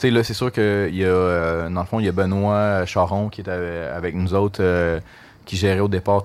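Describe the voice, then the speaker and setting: A man speaks at a moderate pace with a very deep, low pitch. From Quebec, Gatineau area. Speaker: brewery marketing director. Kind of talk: casual interview. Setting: stage with audience. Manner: animated.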